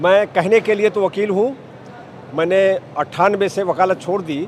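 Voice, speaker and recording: Noticeable background noise sits behind a man whose voice is high in pitch. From Uttar Pradesh, Bahraich. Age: 70s. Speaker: retired lawyer, political supporter. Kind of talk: interview answers. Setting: political rally.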